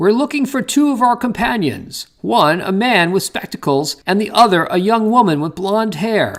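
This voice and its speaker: A man puts on a character voice, pitched high. His intonation is lively and his pace moderate. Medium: read story.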